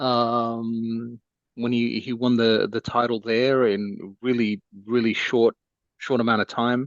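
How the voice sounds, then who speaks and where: At a fairly slow pace, a man with an unremarkable speaking voice talks at medium pitch with fairly even intonation. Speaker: parent. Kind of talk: casual podcast discussion.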